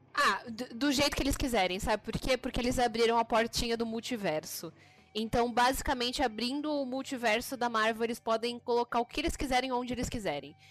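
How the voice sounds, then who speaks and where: With music in the background, a woman talks at a fairly quick pace in a high pitch with ordinary pitch variation. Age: 20s. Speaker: podcast co-host. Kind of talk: casual chat.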